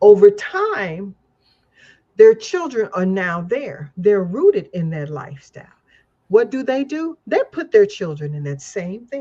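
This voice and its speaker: Medium in pitch and somewhat breathy with a dark, mellow tone, a woman speaks fairly slowly with long, frequent pauses, very wide pitch swings and big swings in loudness. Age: 70s. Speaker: activist and political commentator. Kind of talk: casual chat.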